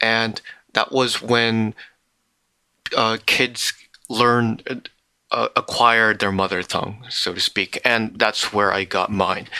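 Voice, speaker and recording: A man with an American accent talks at a very slow pace and a medium pitch, in a monotone, flat intonation with long, frequent pauses. His tone is bright and sharp, and the sound is dry and close with no echo. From Korea, with six childhood years in the US. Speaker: podcast co-host. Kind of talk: casual chat.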